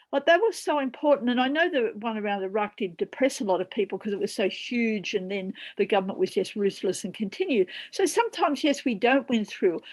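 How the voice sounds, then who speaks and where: In an Australian accent, a woman speaks at a fairly high pitch. Her intonation is lively. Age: 70s. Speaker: peace activist and former senator. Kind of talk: panel discussion.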